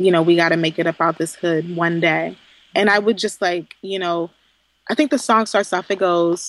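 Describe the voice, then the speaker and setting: A woman's unremarkable speaking voice, medium in pitch with ordinary pitch variation, at a fairly quick pace, with a dry, close sound and no echo. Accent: American. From Southeast Texas. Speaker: former government policy advisor. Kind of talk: casual interview.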